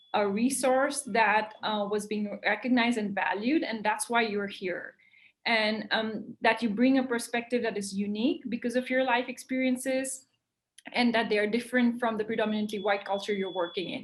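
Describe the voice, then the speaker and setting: Speaking at a moderate pace, a woman uses fairly even intonation in a somewhat breathy, fairly high-pitched voice. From India. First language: an Indian language. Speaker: wildlife conservationist. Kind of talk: interview. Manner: many fillers, hesitant.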